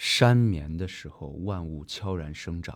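Over a very clean recording with a silent background, a man speaks at a very slow pace with a very deep, low pitch. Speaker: dancer, choreographer and theatre artistic director. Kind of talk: casual chat interview. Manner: halting, many fillers.

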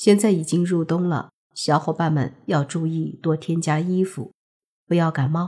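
This woman's voice is somewhat breathy and fairly low in pitch, with a dark, mellow tone and fairly even intonation. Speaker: history storytelling podcast host. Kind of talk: storytelling narration.

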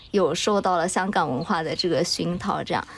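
Here is a plain, everyday voice from a woman with fairly low pitch. She keeps a moderate pace and lively intonation. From Chengdu, Sichuan, China. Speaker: podcast co-host appearing as guest. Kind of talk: casual chat.

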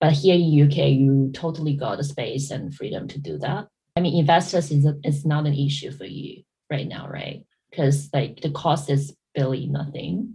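Speaking with an American accent, a woman has a very deep, low pitch and a dark, mellow tone. Her voice is somewhat breathy, with big swings in loudness. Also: ordinary pitch variation, moderate pace. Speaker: podcast host. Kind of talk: casual chat. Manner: halting, many fillers.

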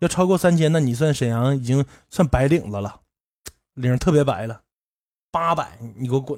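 On a very clean recording with a silent background, a man talks at a moderate pace and a fairly high pitch. Ordinary pitch variation marks his speech, broken by long, frequent pauses. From Northeast China. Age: 30s. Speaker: podcast host. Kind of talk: casual monologue. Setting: livestream room.

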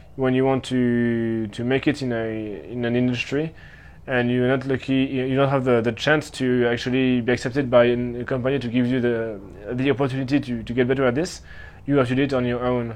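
Fairly quick, monotone, flat delivery from a man with a slight French accent. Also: medium pitch for a man. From Switzerland. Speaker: traveler interviewed about his year. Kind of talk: interview answer. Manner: halting, many fillers.

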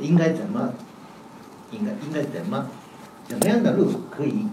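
A man with a fairly high pitch and a Japanese accent, amid noticeable background noise and audible room echo. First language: Japanese (speaking Chinese). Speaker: professor. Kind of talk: academic panel talk. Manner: halting.

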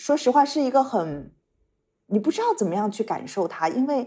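A woman speaks in a calm, gentle, dark and mellow tone, somewhat breathy, with very wide pitch swings. The recording is very clean, with a silent background. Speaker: international development worker. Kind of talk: podcast interview.

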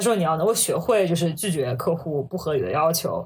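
A woman speaks with a somewhat breathy voice. Her pitch swings very widely. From China, Hangzhou. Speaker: management consultant. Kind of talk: casual interview chat.

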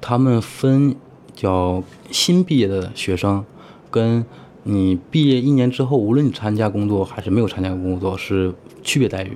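A man's fairly low-pitched, unremarkable speaking voice. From Heilongjiang, northeast China. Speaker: IT worker living abroad. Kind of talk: interview conversation. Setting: in-person recording in Singapore.

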